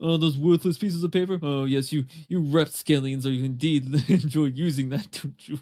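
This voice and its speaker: A man puts on a character voice that is guttural and strained, pitched fairly high. He moves at a moderate pace with hardly any pauses. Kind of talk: haughty, mocking.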